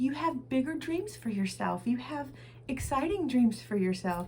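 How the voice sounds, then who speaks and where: Swinging very widely in pitch, a woman talks in a somewhat breathy voice. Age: 50s. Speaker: weight loss challenge finalist. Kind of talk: casual talk to camera.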